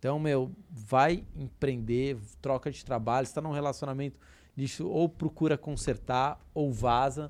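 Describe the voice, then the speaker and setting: This is a plain, everyday voice: a man at medium pitch with fairly even intonation. The recording is very clean, with a silent background. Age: 30s. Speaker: personal finance educator. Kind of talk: casual podcast interview.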